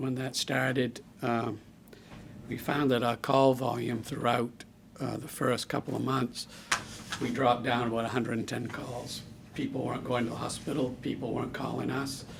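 Against noticeable background noise, a man of medium pitch speaks at a moderate pace in a flat monotone. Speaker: ambulance service official. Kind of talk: public meeting presentation.

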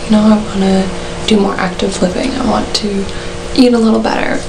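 A woman's medium-pitched voice moves at a moderate pace, its intonation monotone and flat, with noticeable background noise behind it. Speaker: university student. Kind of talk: casual talk to camera. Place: home room. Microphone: webcam.

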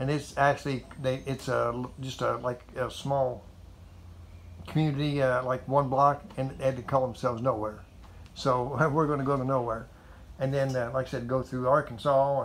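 A man's monotone, flat voice at a moderate pace, over light background noise. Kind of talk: casual vlog chat. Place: garage. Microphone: phone near.

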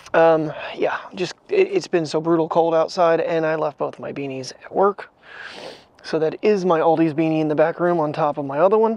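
At a moderate pace, a man speaks with ordinary pitch variation in a dry sound with no echo. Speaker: daily vlogger. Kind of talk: casual vlog chat. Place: street. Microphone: lapel.

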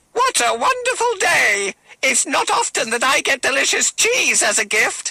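A put-on character voice pitched high, delivered at a moderate pace. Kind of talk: bedtime story.

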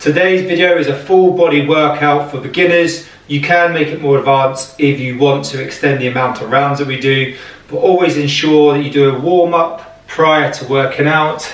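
A man speaks with fairly even intonation, and audible room echo surrounds his voice. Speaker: fitness instructor. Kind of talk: workout tutorial intro. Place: home room. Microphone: camera far.

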